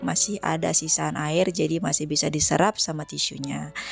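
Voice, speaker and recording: Moderately paced speech from a woman over background music. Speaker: cooking vlogger. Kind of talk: cooking tutorial narration. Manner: casual, chatty.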